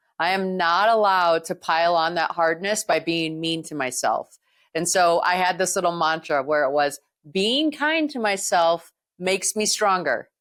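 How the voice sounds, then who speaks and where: Speaking at a moderate pace, a woman with an American accent has a fairly low pitch and an unremarkable speaking voice. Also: ordinary pitch variation, very clean recording, silent background. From United States. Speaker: podcast host. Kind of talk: interview podcast.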